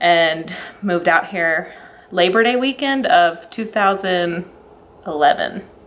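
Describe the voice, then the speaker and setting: A woman in a Southern US accent speaks in a fairly low voice at a fairly slow pace against noticeable background noise. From Alabama, US South. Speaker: vlogger. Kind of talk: casual chat.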